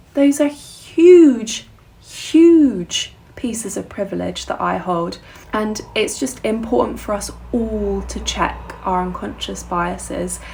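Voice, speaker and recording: A woman speaking very slowly, with noticeable background noise. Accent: southern English. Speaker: musician and vlogger. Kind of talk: casual vlog monologue.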